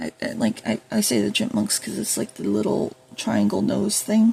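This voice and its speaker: A woman speaks quietly at a moderate pace. Noticeable background noise runs behind her. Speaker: YouTuber. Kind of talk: casual vlog monologue. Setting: at home while food cooks. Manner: hesitant, many fillers.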